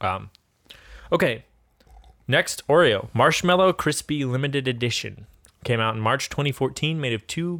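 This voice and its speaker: At a moderate pace, an ordinary speaking voice is heard. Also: man. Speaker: guest co-host. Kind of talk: casual chat. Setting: home, on a sofa. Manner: joking, playful.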